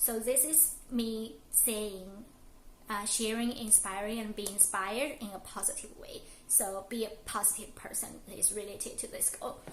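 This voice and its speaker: A woman speaks at a moderate pace and a fairly high pitch with ordinary pitch variation, amid audible room echo and noticeable background noise. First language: not English. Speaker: lifestyle vlogger. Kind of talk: casual vlog monologue. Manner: halting, many fillers.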